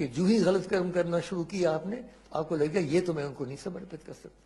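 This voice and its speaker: A man speaks in a high voice. His pitch varies in an ordinary way. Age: 80s+. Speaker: scholar explaining scripture. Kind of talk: spoken explanation of scripture to a listener.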